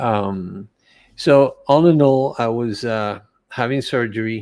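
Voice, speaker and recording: A man with a Spanish accent at a medium pitch, a very slow pace, and ordinary pitch variation, on a very clean recording with a silent background. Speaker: holistic coach and cancer survivor. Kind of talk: interview testimony. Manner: halting, many repetitions.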